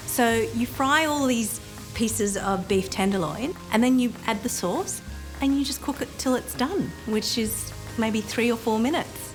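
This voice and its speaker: With music in the background, a woman with an Australian accent speaks fairly slowly at a fairly high pitch, her pitch varying in an ordinary way. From Sydney, Australia. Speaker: food blogger. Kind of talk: casual talk to camera.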